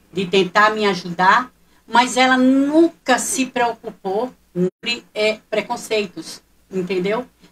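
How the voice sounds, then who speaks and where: Her pitch is fairly high for a woman. She talks at a very slow pace. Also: ordinary pitch variation. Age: 60s. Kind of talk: radio talk show interview.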